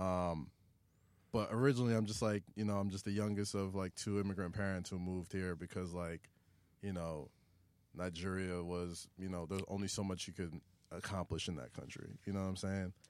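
With a New York accent, a man speaks at a very deep, low pitch and a fairly quick pace, his intonation fairly even. The recording is very clean, with a silent background. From New York City (Queens, Staten Island). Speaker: media personality and podcast host. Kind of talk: casual chat. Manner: fast, talkative.

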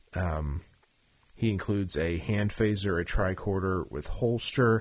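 In a very clean recording with a silent background, a man with an American accent and an unremarkable speaking voice talks at a fairly slow pace, his fairly low pitch showing ordinary variation. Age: 30s. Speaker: toy podcast host. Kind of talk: casual chat; solo monologue update.

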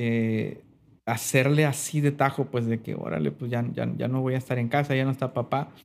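On a very clean recording with a silent background, a man has a plain, everyday voice at medium pitch with ordinary pitch variation. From Mexico, Sinaloa (Mazatlán). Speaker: pianist and music producer. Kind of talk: interview.

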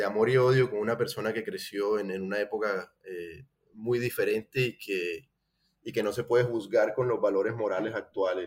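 A man with a normal speaking voice talks at a moderate pace. His pitch is fairly low and his intonation fairly even. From Colombia, Cartagena. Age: 30s. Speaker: painter. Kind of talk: interview.

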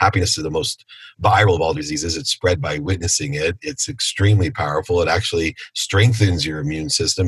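A man with an American accent speaks in a very deep, low voice. He goes at a fairly quick pace and sounds somewhat breathy. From Ohio, US Midwest. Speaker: entrepreneur and speaker. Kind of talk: interview.

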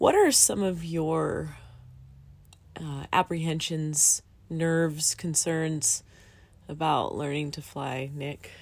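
A woman with a Californian accent and a very deep, low pitch, on a very clean recording with a silent background. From US, Southern California. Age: 40s. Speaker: podcast host, student pilot. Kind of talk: casual chat.

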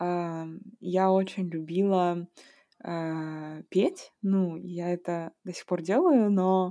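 A woman's dark, mellow voice, fairly low in pitch and monotone, on a very clean recording with a silent background. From Kazakhstan. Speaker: podcast host. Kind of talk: casual interview conversation. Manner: hesitant, many fillers.

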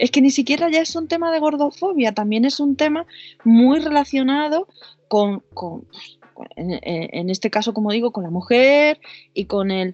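A woman speaks at a fairly slow pace with high pitch. Her pitch swings very widely. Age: 40s. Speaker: psycho-body therapist and sex coach. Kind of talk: interview. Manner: halting.

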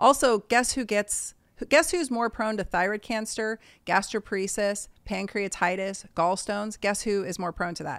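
A woman with a plain, everyday voice talks at a moderate pace, her medium pitch showing ordinary pitch variation. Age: 50s. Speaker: doctor. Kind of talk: casual interview. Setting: video call.

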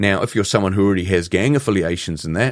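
A man with a New Zealand accent, fairly low pitch and fairly quick pace, in a very clean recording over a silent background. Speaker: psychologist and speaker. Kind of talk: interview.

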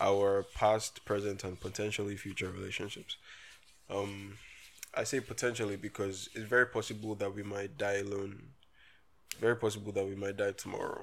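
With an animated tone, a man speaks at a moderate pace and a fairly low pitch. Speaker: podcast host. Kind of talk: casual banter. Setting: recording at home. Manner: joking, animated, bantering.

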